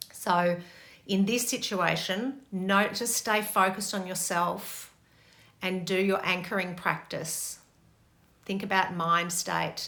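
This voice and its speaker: A woman with a medium pitch and a bright, sharp tone talks with fairly even intonation. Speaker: meditation and relationship teacher. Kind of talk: Q&A talk. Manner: fast.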